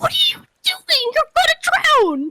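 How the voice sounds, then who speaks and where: An extremely high put-on character voice swings very widely in pitch at a fairly slow pace. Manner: panicked, alarmed.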